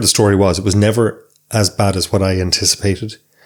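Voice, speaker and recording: The speaker has a west of Ireland accent. Delivery is fairly quick, with fairly even intonation. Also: man. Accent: Irish, rural west of Ireland. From Ireland, County Sligo. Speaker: psychotherapist. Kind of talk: interview.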